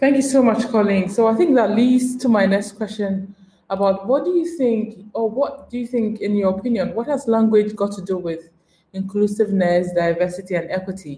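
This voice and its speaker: This woman has a plain, everyday voice with a fairly high pitch. She talks at a moderate pace with ordinary pitch variation. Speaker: podcast host. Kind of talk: interview conversation.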